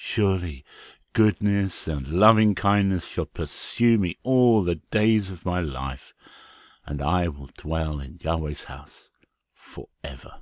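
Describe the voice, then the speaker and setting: Speaking at a very slow pace, a man uses a very deep, low voice, captured in a very clean recording with a silent background and a dry, close sound with no echo. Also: lively intonation. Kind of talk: dramatic Bible reading.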